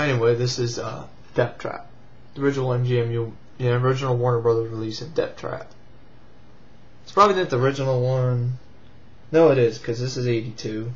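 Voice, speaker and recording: Over noticeable background noise, a man talks very fast at a medium pitch, with fairly even intonation, big swings in loudness and long, frequent pauses. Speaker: VHS collector and movie reviewer. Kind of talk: casual talk to camera.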